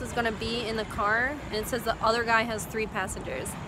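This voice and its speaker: With noticeable background noise behind her, a woman talks at a fairly quick pace in a fairly high pitch. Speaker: vlogger. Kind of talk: casual vlog monologue. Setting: walking around city and store, in a car. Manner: rambling with many fillers.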